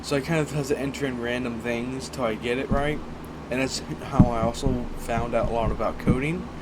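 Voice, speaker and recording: A man's medium-pitched voice, flat and monotone, at a fairly quick pace, with noticeable background noise and audible room echo. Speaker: indie game developer. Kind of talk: channel intro monologue.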